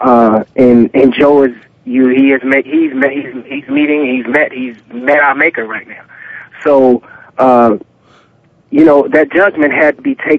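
Fairly high in pitch, a man with an unremarkable speaking voice talks at a fairly slow pace with fairly even intonation. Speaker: former pro football player. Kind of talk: sports talk radio interview.

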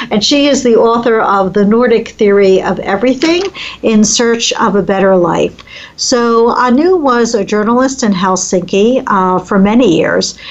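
In an American accent, a woman talks at a moderate pace and a fairly high pitch with ordinary pitch variation. Noticeable background noise can be heard. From US East Coast. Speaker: talk radio host, family caregiving expert. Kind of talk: radio interview.

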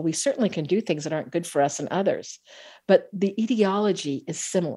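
A woman with an American accent speaks in an unremarkable speaking voice at a medium pitch, with lively intonation and a fairly quick pace. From US West Coast, Bay Area of California. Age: middle-aged. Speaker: trauma therapist and author. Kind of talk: interview.

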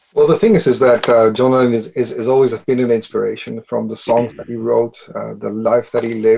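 A man with a Dutch accent, at a fairly quick pace. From Netherlands. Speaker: business consultant. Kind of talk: panel discussion.

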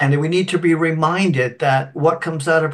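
This man has a plain, everyday voice, pitched fairly high, with fairly even intonation. He speaks at a fairly slow pace against a quiet background. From Canada (Scottish-born, moved at three). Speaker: spiritual medium and minister. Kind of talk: interview storytelling. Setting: video call.

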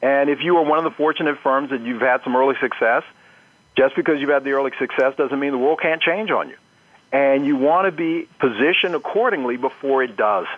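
This man has an unremarkable speaking voice. He talks at a fairly quick pace with very even loudness. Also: fairly high pitch for a man, ordinary pitch variation. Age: 50s. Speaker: marketing professor. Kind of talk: interview.

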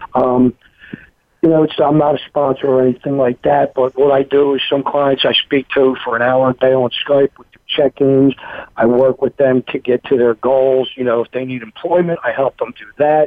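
A man's medium-pitched, flat, monotone voice with big swings in loudness, in a Philadelphia accent. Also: moderate pace. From Philadelphia, Pennsylvania. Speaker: recovery coach. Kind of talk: interview testimony. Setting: phone call.

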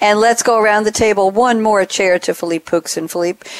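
A woman talks in an animated, enthusiastic tone at a moderate pace. There is noticeable background noise. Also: dry, close sound with no echo. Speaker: podcast host and moderator. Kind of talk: business talk show interview.

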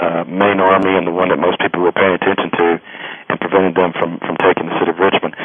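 Speaking at a very fast pace, a man uses a very deep, low pitch and monotone, flat intonation. He has an Alabama accent, and background noise is noticeable. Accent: US Southern (Alabama). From Alabama, Birmingham area. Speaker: history professor and author. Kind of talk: interview. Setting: phone call. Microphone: old landline phone.

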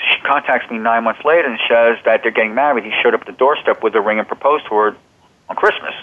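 A man with an American accent talks at a very fast pace with ordinary pitch variation. There is noticeable background noise. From central New Jersey. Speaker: self-help author and human potential specialist. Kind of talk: interview.

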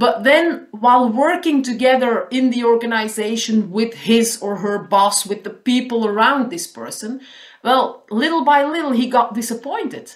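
With a Flemish accent, a woman talks at a moderate pace with hardly any pauses. Her pitch varies in an ordinary way. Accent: Flemish Dutch-accented English. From Belgium, Flanders. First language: Dutch. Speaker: caller, happiness consultant and trainer. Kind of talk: phone interview.

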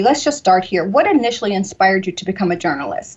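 A woman speaks with an American accent and a somewhat breathy voice. Her pitch swings very widely. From US South, Georgia. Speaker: radio talk show host. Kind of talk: interview. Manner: warm, repetitive and enthusiastic; laughs often.

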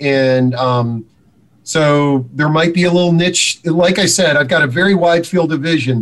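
At a fairly slow pace, a man speaks in a normal speaking voice with a fairly high pitch. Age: 50s. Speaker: senior housing publisher. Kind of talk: interview.

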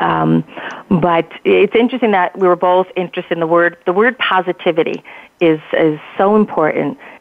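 This is a woman with an American accent and an ordinary speaking voice. She talks at a fairly quick pace. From New Jersey. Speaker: publicist. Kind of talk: conversational radio interview. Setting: phone call.

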